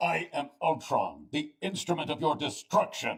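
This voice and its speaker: This man uses a put-on character voice. He talks at a moderate pace. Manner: menacing.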